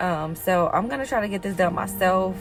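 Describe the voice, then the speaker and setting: Music in the background behind a woman's moderate pace. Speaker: DIY car hobbyist. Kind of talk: casual talk to camera. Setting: outdoors.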